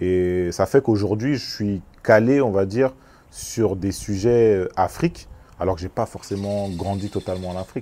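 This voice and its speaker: Using ordinary pitch variation, a man speaks at a fairly low pitch. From France, Congolese family. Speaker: music industry executive. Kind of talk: casual interview. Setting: on location. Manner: halting, repeats words.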